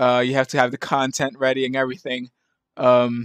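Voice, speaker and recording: A man mumbles, the sound dry and close with no echo. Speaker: gaming video editor. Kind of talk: casual gameplay commentary. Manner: mumbling, hesitant.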